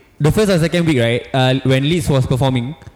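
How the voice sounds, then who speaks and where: Music is playing behind the voice. A man speaks fairly quickly over it. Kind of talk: casual chat.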